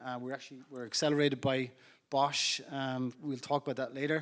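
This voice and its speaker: Fairly quick speech in an Irish accent. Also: man. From Ireland. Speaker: startup founder and CEO. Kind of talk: panel discussion.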